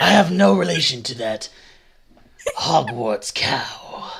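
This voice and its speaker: Fairly slow, medium-pitched speech from a man in a put-on character voice. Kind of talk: actual play game narration. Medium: actual play. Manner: gentle.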